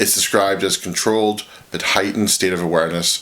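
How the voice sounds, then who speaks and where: A man speaks at a fairly quick pace with fairly even intonation amid noticeable background noise. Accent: Northern Irish. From Northern Ireland. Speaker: video essayist on games. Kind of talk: scripted video essay narration.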